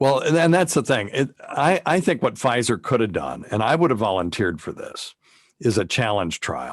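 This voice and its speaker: Against a quiet background, a man with an American accent speaks at medium pitch with vocal fry and very wide pitch swings. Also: moderate pace. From US South. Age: 60s. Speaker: physician and radio host. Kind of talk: interview.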